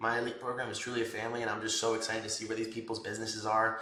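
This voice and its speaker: Against noticeable background noise and audible room echo, the voice holds a flat, monotone intonation. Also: man. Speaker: tattoo artist and business mentor. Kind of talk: casual vlog talk to camera; casual group call coaching. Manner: casual, filler-heavy.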